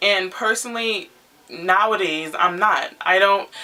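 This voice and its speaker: A woman's voice with fairly even intonation over noticeable background noise. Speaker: YouTube vlogger. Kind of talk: casual vlog monologue. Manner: loud.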